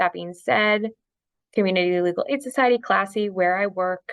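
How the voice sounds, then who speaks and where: The woman has an unremarkable speaking voice. Her intonation is fairly even and her pace moderate. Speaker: housing attorney. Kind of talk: online training presentation. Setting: video call. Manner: many filler ums.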